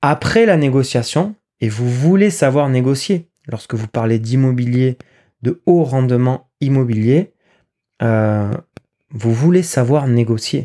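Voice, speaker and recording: A man speaks very slowly, with long, frequent pauses and ordinary pitch variation. His tone is dark and mellow, his pitch medium, and the sound dry and close with no echo. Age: 30s. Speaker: financial and real estate advisor. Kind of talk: solo podcast monologue.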